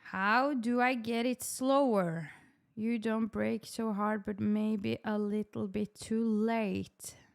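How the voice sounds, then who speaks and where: Very slowly, a woman with a Norwegian accent speaks at a fairly high pitch with fairly even intonation. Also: very clean recording, silent background. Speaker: sim racing streamer. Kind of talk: live stream commentary.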